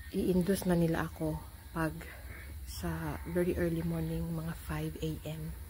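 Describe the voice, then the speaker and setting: Audible room echo surrounds a woman who speaks quietly at a fairly slow pace. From Philippines. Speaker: vlogger. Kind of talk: vlog update. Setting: hospital. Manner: quiet, low volume.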